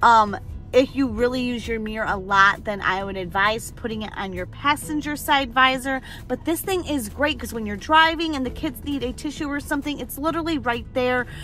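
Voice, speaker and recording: Noticeable background noise runs under this recording. A woman talks at a high pitch and a fairly quick pace with lively intonation. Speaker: family vlogger. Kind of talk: product review vlog. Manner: loud; animated.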